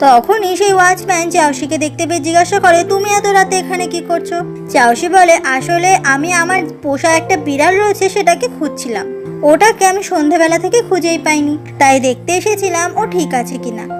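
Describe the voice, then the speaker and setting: With music in the background, a woman speaks at an extremely high pitch with ordinary pitch variation. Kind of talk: drama plot explanation narration. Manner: soothing.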